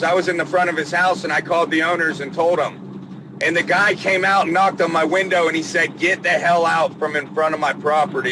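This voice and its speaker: A man with an American accent speaks at a moderate pace in a high voice with ordinary pitch variation, over noticeable background noise. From Georgia and Pennsylvania. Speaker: plumber. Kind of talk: casual interview chat. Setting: in a car, stuck in traffic. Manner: talkative.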